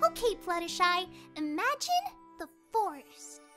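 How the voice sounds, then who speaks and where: In a put-on character voice, a female-sounding speaker talks at an extremely high pitch and moderate pace, with faint music in the background. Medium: audio drama. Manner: bubbly, energetic.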